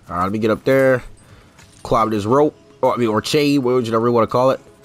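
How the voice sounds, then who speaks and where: With music in the background, a man speaks at a fairly quick pace in a medium pitch, excited and animated in tone with ordinary pitch variation, in a dry, close sound with no echo. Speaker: gamer. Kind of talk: casual gameplay commentary. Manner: excited, animated.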